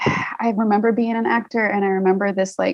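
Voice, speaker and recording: At a moderate pace, a woman with an American accent speaks in a medium pitch with fairly even intonation. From US South, Alabama. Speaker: actress and indie filmmaker. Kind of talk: casual interview chat.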